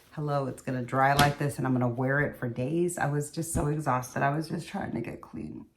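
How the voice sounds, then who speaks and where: Noticeable background noise is present. The speaker moves at a fairly quick pace with fairly even intonation. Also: woman, very deep, low pitch for a woman. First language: Spanish. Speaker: beauty vlogger. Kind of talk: casual chat. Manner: casual, hesitant with fillers.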